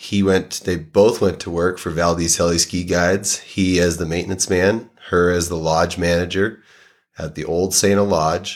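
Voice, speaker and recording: A man's very deep, low voice in a flat monotone at a moderate pace, on a very clean recording with a silent background. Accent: American. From Massachusetts (Saugus, near Boston). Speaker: avalanche forecaster. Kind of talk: casual interview.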